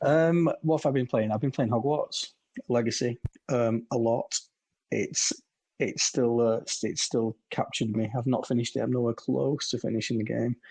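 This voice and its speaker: A quiet, somewhat breathy man's voice at medium pitch and a moderate pace, with fairly even intonation and a dry, close sound with no echo. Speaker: gaming community moderator and podcast co-host. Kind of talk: casual chat. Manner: quiet, keeping voice down.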